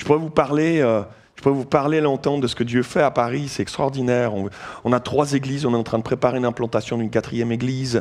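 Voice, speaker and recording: At a medium pitch, a man speaks with a slight Vaud accent. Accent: slight Vaud Swiss. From Switzerland, canton of Vaud. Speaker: pastor, guest preacher. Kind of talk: sermon. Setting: church.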